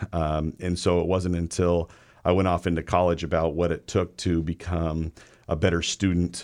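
Against a quiet background, a man with an American accent speaks in a very deep, low pitch and a monotone, flat intonation. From US Pacific Northwest (Everett, Washington). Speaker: high school administrator. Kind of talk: casual interview.

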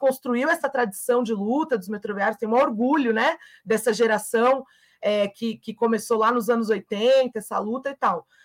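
A woman uses a normal speaking voice with a fairly high pitch, at a fairly slow pace. The sound is dry and close, with no echo. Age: 30s. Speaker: trade union leader. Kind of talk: interview.

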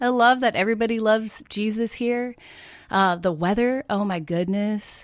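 A woman with an American accent speaks in a normal speaking voice at a fairly high pitch and a moderate pace. Her pitch varies in an ordinary way, on a very clean recording with a silent background. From Oregon. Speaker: bakery owner. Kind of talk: interview.

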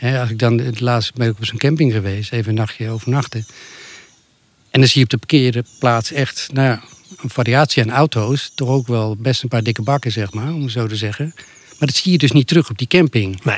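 A man's medium-pitched voice, with ordinary pitch variation, moves along at a fairly quick pace. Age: 50s. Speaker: podcast guest, nudist. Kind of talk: casual interview. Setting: outdoors under an apple tree. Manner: halting, repetitive.

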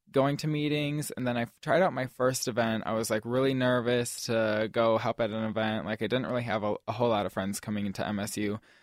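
At a fairly quick pace, a man talks in a medium pitch with a normal speaking voice. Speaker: student activities board director. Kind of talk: interview answers. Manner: casual, filler-heavy with many ums.

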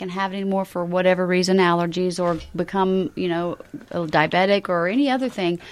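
Talking at a very fast pace, a woman speaks in a Southern US accent. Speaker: caterer. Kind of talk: casual chat. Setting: studio. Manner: warm.

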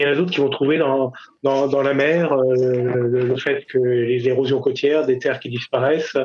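There is noticeable background noise behind this man. His fairly high-pitched voice stays monotone and flat. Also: moderate pace. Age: 60s. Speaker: climate scientist and public agency official. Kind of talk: radio interview. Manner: halting, many repetitions and hesitations.

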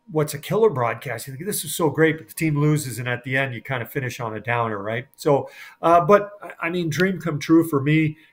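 A plain, everyday voice from a man, fairly high in pitch with ordinary variation, at a moderate pace. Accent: Canadian. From Edmonton, Alberta, Canada. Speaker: sports broadcaster. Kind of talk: casual interview.

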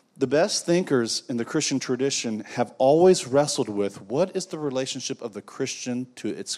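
Lively intonation from a man at medium pitch and moderate pace, on a very clean recording with a silent background. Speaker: divinity professor and theologian. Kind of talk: lecture. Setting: brewery event with live audience. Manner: sitting while speaking.

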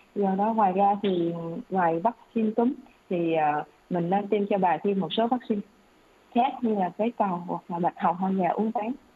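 Over noticeable background noise, a woman talks at a moderate pace and medium pitch with ordinary pitch variation and long, frequent pauses. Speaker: doctor. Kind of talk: expert health advice answering questions on radio. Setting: radio studio broadcast.

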